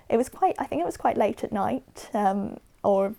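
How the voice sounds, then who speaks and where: A woman speaks at a moderate pace. She talks with a Southern English accent. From Watford, England. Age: 20s. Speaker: patient. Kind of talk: interview answer.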